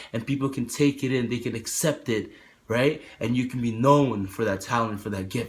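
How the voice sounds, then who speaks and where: An animated man speaks at a moderate pace with a medium pitch and ordinary pitch variation. His voice is somewhat breathy. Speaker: motivational vlogger. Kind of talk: motivational talk to camera.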